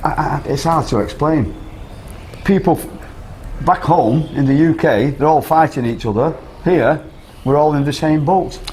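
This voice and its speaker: A fairly high-pitched man with a Manchester accent, moderate pace, ordinary pitch variation and long, frequent pauses, against noticeable background noise. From northern England, Whitefield, Manchester. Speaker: expat interviewee. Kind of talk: casual interview. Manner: halting, repeats words.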